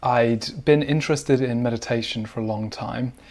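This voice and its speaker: In a British accent, a man speaks at a moderate pace. His pitch is medium, with ordinary variation. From UK. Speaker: breathwork teacher and author. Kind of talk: interview.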